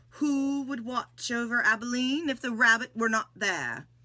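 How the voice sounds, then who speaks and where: Here a woman puts on a character voice, pitched high. She keeps to a moderate pace. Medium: read story. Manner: slow, deliberate.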